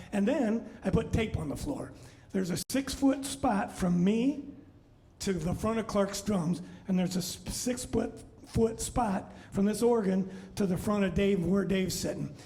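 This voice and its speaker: Over noticeable background noise and with audible room echo, a man with a high pitch for a man talks at a moderate pace. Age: 60s. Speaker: musician and bandleader. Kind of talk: live show stage talk. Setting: brewery bar, live stream without audience. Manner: casual, halting with fillers.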